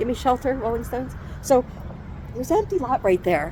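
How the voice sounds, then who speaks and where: A woman speaks loudly at a high pitch over noticeable background noise. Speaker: conspiracy vlogger. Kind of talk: casual monologue vlog. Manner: rambling, halting.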